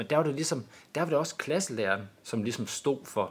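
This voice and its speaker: Intonation rises and falls in a lively way as a man speaks in a normal speaking voice at a moderate pace. The recording is very clean and the background silent. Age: 40s. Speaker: school principal. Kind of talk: interview. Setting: studio.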